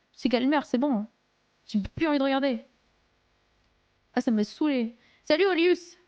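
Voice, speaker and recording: A woman with a high, animated voice speaks at a moderate pace with ordinary pitch variation, very even loudness, and long, frequent pauses. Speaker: live streamer. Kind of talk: casual chat reading live chat. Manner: animated, halting.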